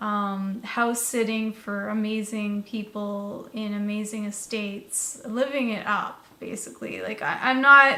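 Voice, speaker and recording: Fairly slow speech from a woman at a fairly high pitch, with fairly even intonation, hardly any pauses, audible room echo and noticeable background noise. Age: 30s. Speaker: vlogger. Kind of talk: casual monologue. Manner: rambling with many fillers.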